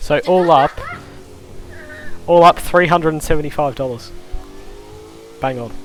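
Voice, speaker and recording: Man at a fairly high pitch and moderate pace, with long, frequent pauses, big swings in loudness and music in the background. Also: ordinary pitch variation. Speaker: sim racing commentator. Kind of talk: live commentary. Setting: live stream.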